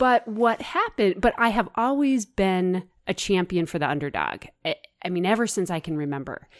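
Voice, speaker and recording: With an American accent, a woman talks at a moderate pace and medium pitch, her intonation lively and the sound dry and close with no echo. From US Midwest, suburbs of Kansas City. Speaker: farm policy advocate. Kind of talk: interview. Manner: halting.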